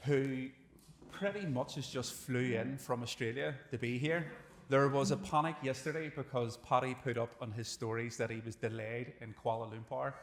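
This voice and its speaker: A man talks at a moderate pace and medium pitch. He has a normal speaking voice with ordinary pitch variation. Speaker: podcast host. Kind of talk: live podcast host introduction.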